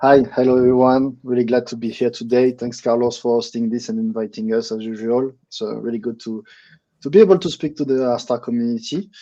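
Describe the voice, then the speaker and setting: Over a quiet background, a man talks at a fairly quick pace in a medium-pitched voice with a dark, mellow tone and fairly even intonation. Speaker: marketing lead. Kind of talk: live community call.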